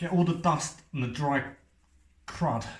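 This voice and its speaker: Audible room echo surrounds a man talking at a fairly slow pace, his voice somewhat breathy with ordinary pitch variation. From North East London, England. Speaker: painter and decorator. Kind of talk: tutorial. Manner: casual, chatty.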